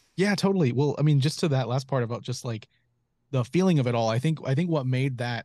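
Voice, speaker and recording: A man with an American accent speaks in a dark, mellow tone at medium pitch with ordinary pitch variation, the sound dry and close with no echo against a quiet background. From North Carolina (Charlotte). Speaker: director and photographer. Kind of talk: casual chat. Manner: halting.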